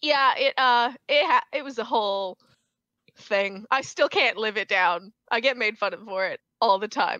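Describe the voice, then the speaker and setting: A woman's fairly high, bright, sharp voice with ordinary pitch variation, dry and close with no echo, against a quiet background. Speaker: actor and event producer. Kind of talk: casual chat, podcast interview.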